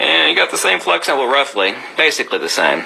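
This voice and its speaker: Noticeable background noise runs beneath speech delivered at a fairly quick pace. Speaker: magnetism demonstrator and author. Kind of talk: video demonstration lecture. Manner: animated.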